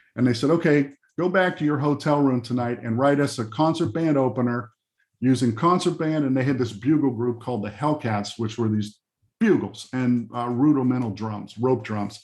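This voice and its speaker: A man talks in a plain, everyday voice at a medium pitch. His pace is moderate and his pitch varies in an ordinary way. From Pennsylvania, Johnstown area. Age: 60s. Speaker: music arranger. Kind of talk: interview storytelling. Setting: video call. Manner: casual, with many fillers.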